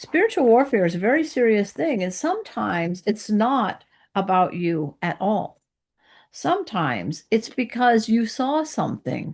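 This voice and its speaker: A woman with vocal fry and very wide pitch swings, at a moderate pace over a quiet background. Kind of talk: sermon-style Bible teaching to camera. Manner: conversational, friendly.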